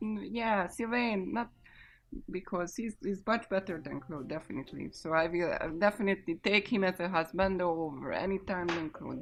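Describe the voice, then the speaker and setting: Speaking with a Central Eastern European accent, a woman talks at a moderate pace. The background is quiet. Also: medium pitch for a woman, lively intonation. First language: not English. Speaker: podcast host. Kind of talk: casual chat. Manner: halting.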